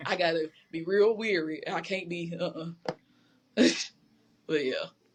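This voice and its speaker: A woman with a Southern US accent speaks at a fairly slow pace in a fairly low pitch. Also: fairly even intonation. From Georgia, US. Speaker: poet, chef and creative director. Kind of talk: casual chat.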